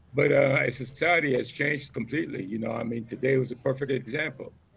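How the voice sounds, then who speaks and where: A man with an American accent speaks in an unremarkable speaking voice at a moderate pace, his fairly high pitch carrying a fairly even intonation. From US Virgin Islands (St. Croix, Frederiksted). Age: 60s. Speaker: military veteran, former drill instructor. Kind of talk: casual family chat.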